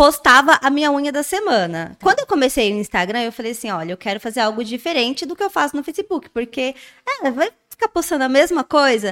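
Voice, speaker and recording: A woman's high voice at a very fast pace, with very wide pitch swings, in a dry, close sound with no echo. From interior of São Paulo state, Brazil. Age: 30s. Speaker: nail influencer. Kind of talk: interview.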